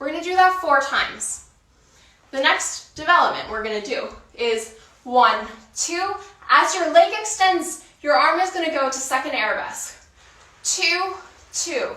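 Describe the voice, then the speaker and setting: A woman's raised, projected voice, extremely high with very wide pitch swings, at a fairly slow pace with long, frequent pauses, in audible room echo and noticeable background noise. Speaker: dancer and workout instructor. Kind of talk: guided workout instruction. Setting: online video class. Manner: counts rhythmically.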